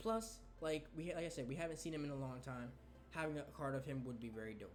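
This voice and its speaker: Amid noticeable background noise and audible room echo, a man talks at a very fast pace with lively intonation. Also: fairly high pitch for a man. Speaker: gaming youtuber. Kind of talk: casual video commentary. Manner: stuttering today.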